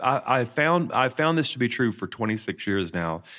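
Lively intonation marks this man's ordinary speaking voice at a medium pitch. He talks at a fairly quick pace in a very clean recording with a silent background. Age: 50s. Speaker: senior pastor. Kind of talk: interview.

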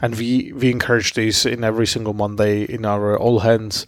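A man with a Slovak accent speaks at a moderate pace in a medium pitch. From Slovakia. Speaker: tech entrepreneur. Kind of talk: interview.

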